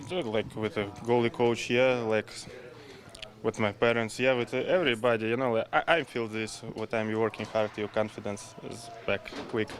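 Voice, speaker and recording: Over noticeable background noise, a man with a medium pitch talks at a moderate pace with fairly even intonation. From Russia. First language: Russian. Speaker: professional hockey goalie. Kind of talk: media scrum interview. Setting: press availability after practice. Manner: halting.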